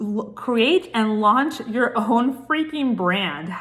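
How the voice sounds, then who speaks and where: In a fairly high pitch, a woman speaks at a fairly slow pace. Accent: Puerto Rican. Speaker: brand consultant. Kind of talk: casual vlog talk to camera. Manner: animated.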